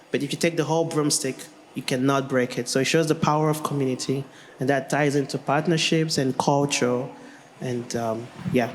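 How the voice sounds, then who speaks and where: Against noticeable background noise, a man talks at a fairly quick pace in a fairly high voice with fairly even intonation. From Nigeria. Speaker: language technology researcher. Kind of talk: panel discussion.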